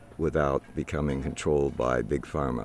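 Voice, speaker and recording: At a moderate pace, a man talks in an American accent. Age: 80s+. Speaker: war veteran. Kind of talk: interview testimony. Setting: outdoors.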